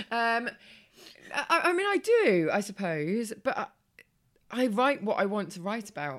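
Fairly high in pitch, this woman's voice swings very widely as she speaks with an English accent. Her pace is fairly slow, with long, frequent pauses. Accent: English, similar to host. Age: 30s. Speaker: former model turned blogger. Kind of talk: casual chat. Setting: in person at guest's home.

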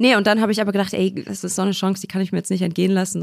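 A woman speaks with fairly even intonation. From Ruhr area, Essen. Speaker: rapper and voice actor. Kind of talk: casual chat. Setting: studio, at a living-room table.

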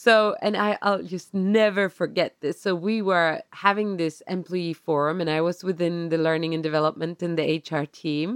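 With a Swedish accent, the speaker keeps a moderate pace and hardly any pauses. Intonation is fairly even, and the sound is dry and close with no echo. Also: woman, fairly low pitch for a woman. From Sweden. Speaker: podcast co-host. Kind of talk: casual chat. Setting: video call. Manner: calm.

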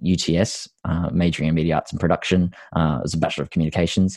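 In an Australian accent, a man talks at a fairly quick pace with a very deep, low pitch and fairly even intonation, the sound dry and close with no echo. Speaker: actor. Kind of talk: interview about personal story.

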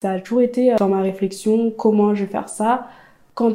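Here a woman has a fairly high pitch and a dark, mellow tone. She speaks at a moderate pace with fairly even intonation. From eastern France. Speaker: podcaster. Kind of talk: casual interview. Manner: hesitant.

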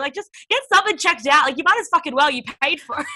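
The speaker is a woman with an Australian accent. Her voice has a bright, sharp tone. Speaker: podcast host and interviewer. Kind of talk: casual chat.

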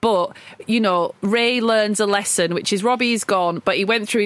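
Noticeable noise runs through the background. In front of it, a woman talks at a medium pitch. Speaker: film podcast co-host. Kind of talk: casual film discussion.

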